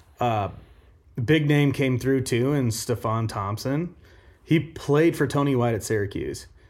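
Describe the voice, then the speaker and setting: A normal speaking voice with an American accent, a fairly slow pace and ordinary pitch variation. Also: man, medium pitch for a man. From Omaha, Nebraska. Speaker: college football podcast co-host. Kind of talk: casual chat.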